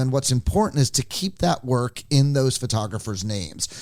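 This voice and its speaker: A man with an unremarkable speaking voice talks at a moderate pace. His pitch is medium and his intonation lively. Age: 60s. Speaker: music photographer. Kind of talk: podcast interview. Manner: casual, with fillers.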